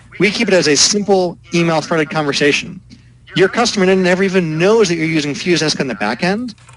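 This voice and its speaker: With noticeable background noise behind him, a man speaks at a fairly quick pace in a high voice with ordinary pitch variation. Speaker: software company founder. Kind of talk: interview. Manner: fast.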